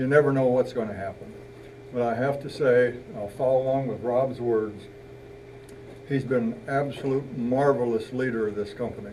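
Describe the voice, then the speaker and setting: Over noticeable background noise and audible room echo, a man with a medium pitch speaks at a moderate pace with fairly even intonation and long, frequent pauses. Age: 70s. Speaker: retired company elder, father. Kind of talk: retirement party speech. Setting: party with audience.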